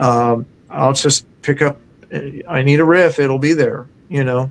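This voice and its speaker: Keeping very even loudness, a man talks at a fairly slow pace in a fairly high pitch with fairly even intonation. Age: 60s. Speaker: rock musician. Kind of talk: podcast interview. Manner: casual, halting with fillers.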